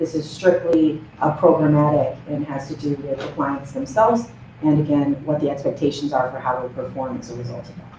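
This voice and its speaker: Noticeable background noise runs beneath fairly quick speech. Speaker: program director presenting to county board. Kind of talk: public meeting presentation. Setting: county board meeting room.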